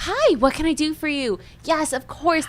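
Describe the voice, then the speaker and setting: A put-on character voice at a high pitch moves at a moderate pace over clear background noise. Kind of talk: polite, service-oriented. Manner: high, happy, friendly.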